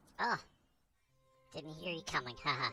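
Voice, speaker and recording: With faint music in the background, a man uses a put-on character voice at a fairly high pitch and a moderate pace. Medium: game stream.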